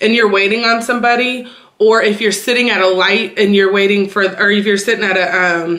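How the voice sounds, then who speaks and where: A woman with an American accent and fairly high pitch, with audible room echo. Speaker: YouTuber. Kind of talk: casual vlog talk. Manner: fast.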